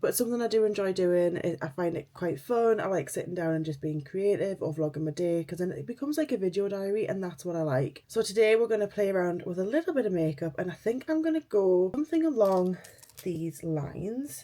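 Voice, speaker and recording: With a Geordie accent, a woman talks at a fairly quick pace with hardly any pauses, her medium-pitched, dark, mellow voice carrying lively intonation. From northern England, Newcastle. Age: 30s. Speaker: beauty vlogger. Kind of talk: casual chat.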